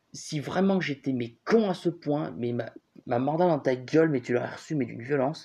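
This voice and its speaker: A man's dark, mellow tone at a moderate pace. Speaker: YouTuber commentator. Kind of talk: commentary reading online comments. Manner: casual, hesitant with fillers.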